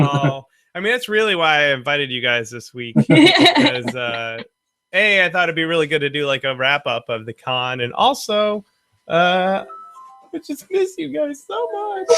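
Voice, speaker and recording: A man's fairly high voice with very wide pitch swings, music in the background. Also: moderate pace. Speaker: prop maker. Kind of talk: live-stream Q&A host.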